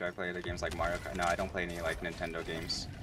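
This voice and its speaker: With audible room echo and noticeable background noise, a man talks at a very fast pace in a very deep, low pitch with monotone, flat intonation. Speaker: streamer. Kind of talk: casual chat. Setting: live stream while gaming. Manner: relaxed, laid-back; hesitant, many fillers.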